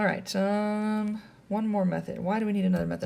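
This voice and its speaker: Somewhat breathy and dark, mellow in tone, a woman talks at a fairly quick pace. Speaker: math teacher. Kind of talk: lecture. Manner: fast.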